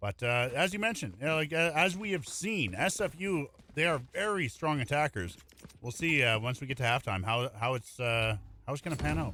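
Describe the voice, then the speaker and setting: A man mumbles at a fairly quick pace and fairly high pitch, with very wide pitch swings. Background noise is noticeable. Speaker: esports caster. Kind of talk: live commentary. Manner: mumbling.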